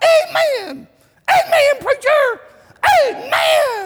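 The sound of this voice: A man uses a put-on character voice pitched extremely high, with very wide pitch swings and a very slow pace.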